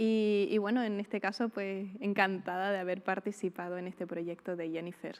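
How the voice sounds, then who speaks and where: At a moderate pace with hardly any pauses, a woman with a strong Canarian accent speaks in a medium pitch and a monotone, flat intonation on a very clean recording with a silent background. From Canary Islands (El Hierro). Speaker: actress. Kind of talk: interview.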